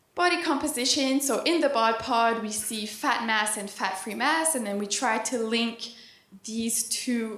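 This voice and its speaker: Ordinary pitch variation comes through amid audible room echo. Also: woman. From East Coast Canada. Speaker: PhD student and dietitian. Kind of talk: conference presentation. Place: hall. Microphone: handheld.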